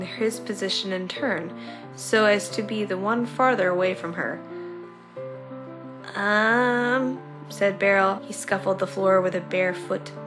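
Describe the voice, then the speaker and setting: Over music in the background, a woman speaks at a fairly slow pace with medium pitch and lively intonation. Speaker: fan fiction reader. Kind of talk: story reading with character voices.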